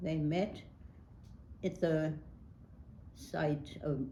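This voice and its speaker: The voice has an American accent, a dark, mellow tone and vocal fry. Audible room echo is present. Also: woman. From New York City (Brooklyn). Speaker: local politician. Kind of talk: oral history interview. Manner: hesitant, many fillers.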